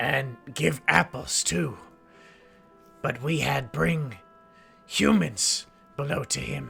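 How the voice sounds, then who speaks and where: Over clear music, a man puts on a raspy character voice at a medium pitch, speaking very slowly with long, frequent pauses. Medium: actual play. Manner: broken, clipped grammar.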